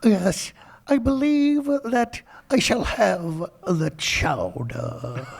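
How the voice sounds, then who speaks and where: In a put-on character voice, the speaker moves at a very slow pace around a middle pitch. The pitch swings very widely. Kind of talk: formal, polite.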